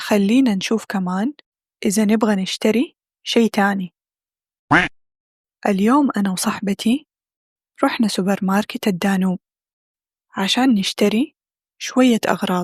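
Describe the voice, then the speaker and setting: Speaking in a Hijazi accent, a woman with a medium pitch and ordinary pitch variation sounds somewhat breathy, moving at a fairly slow pace with long, frequent pauses in a dry, close recording with no echo. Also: very even loudness. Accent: Hijazi Saudi dialect. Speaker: Arabic language teacher. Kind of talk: language-learning vlog narration.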